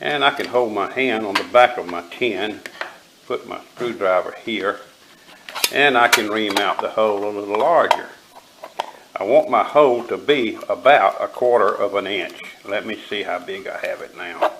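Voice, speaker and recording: The man's loudness swings widely. Noticeable background noise is present. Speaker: bushcraft tutorial maker. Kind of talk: tutorial. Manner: slow.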